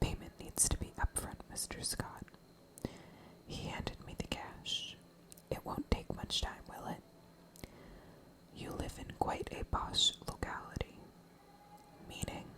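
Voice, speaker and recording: The speaker is whispering at a fairly slow pace. Long, frequent pauses break it up, and noticeable background noise is present. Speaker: ASMR storyteller. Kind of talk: scary story reading. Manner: whispered.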